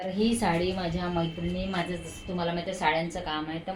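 A woman's monotone, flat delivery amid noticeable background noise and audible room echo. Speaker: vlogger. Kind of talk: casual vlog chat. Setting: at home.

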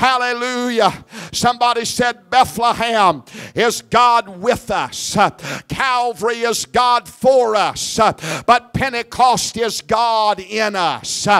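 The recording has a quiet background. A man speaks at an extremely high pitch with ordinary pitch variation. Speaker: evangelist preacher. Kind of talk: revival sermon building to a call-and-response climax. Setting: church service with congregation. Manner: fervent, rhythmic repetition with rising Pentecostal intensity; exhorting the crowd, prompting amens. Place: church. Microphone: handheld.

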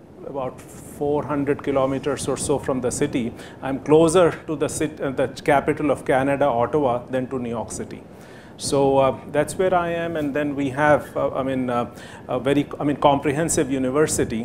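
A man at a moderate pace, fairly high in pitch, with fairly even intonation and noticeable background noise. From India, Allahabad; India. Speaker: professor. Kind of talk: lecture. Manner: halting, many fillers. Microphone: podium.

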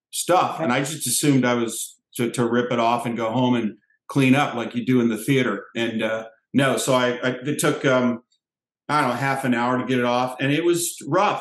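A man is speaking with audible room echo. The background stays quiet. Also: fairly even intonation, moderate pace. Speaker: special guest actor. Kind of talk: interview answer. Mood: relaxed, amused. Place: home room. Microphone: headset.

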